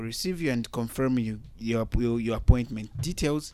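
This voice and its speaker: On a very clean recording with a silent background, a man with an ordinary speaking voice talks at a moderate pace, his medium pitch showing ordinary variation. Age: young. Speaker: youth health organization representative. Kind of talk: interview. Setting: studio.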